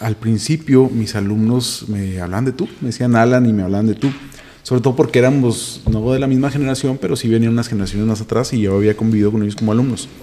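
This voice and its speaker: A man with a Mexican accent speaks at a very fast pace in a medium pitch. His intonation stays fairly even. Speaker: teacher and podcaster. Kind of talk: casual chat.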